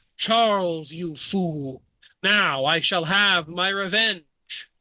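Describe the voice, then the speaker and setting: This put-on character voice sits at a middle pitch and moves at a very slow pace. The recording is very clean, with a silent background. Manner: vengeful, theatrical.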